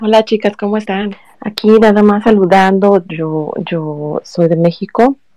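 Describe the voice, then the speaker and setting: A woman's dark, mellow voice at a fairly slow pace, fairly even in intonation, dry and close with no echo. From Mexico, Guerrero coast (Acapulco). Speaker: listener participant. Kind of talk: casual chat. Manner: clips word endings.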